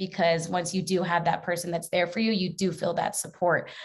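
A woman's somewhat breathy voice with an American accent, a moderate pace and fairly even intonation, on a very clean recording with a silent background. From Mesa, Arizona. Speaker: sport and social justice advocate. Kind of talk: panel discussion.

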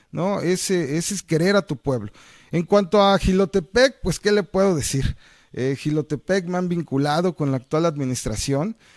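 A man with a fairly high pitch speaks at a fairly slow pace, his intonation lively. The sound is dry and close, with no echo. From Mexico, Veracruz. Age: 40s. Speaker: mayoral candidate and lawyer. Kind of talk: campaign interview. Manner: hesitant, many fillers.

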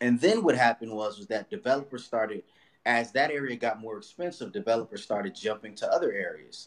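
The speaker talks at a very fast pace with a Los Angeles accent. The pitch swings very widely. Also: man, medium pitch for a man. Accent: Los Angeles American English. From Watts, Los Angeles. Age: 30s. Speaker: real estate broker and investor. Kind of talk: podcast interview.

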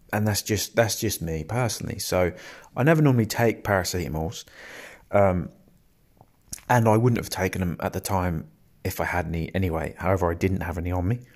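Very deep and low in pitch, a man speaks at a fairly quick pace with ordinary pitch variation and long, frequent pauses, in a very clean recording with a silent background. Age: 20s. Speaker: mental wellbeing podcaster. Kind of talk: personal testimony monologue. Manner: rambling, hesitant.

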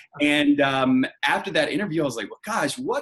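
In an American accent, a normal speaking voice moves at a fairly quick pace with lively intonation. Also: man. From North Carolina, US South. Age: 20s. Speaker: staffing company executive. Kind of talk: interview.

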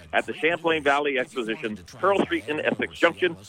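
A man's fairly high voice at a fairly quick pace, with lively intonation and noticeable background noise. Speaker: on-location promoter. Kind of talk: live promo report. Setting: phone call. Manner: animated.

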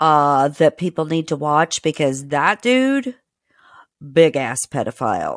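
A woman with an American accent speaks very slowly at a very deep, low pitch, with lively intonation. The recording is very clean with a silent background and a dry, close sound with no echo. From Indiana, US Midwest. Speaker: podcast host. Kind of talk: casual chat.

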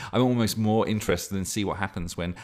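A man talks with fairly even intonation. Everything is very clean, and the background is silent. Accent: slight Lancashire. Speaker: podcast host and game master. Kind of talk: casual monologue. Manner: rambling, halting, chatty.

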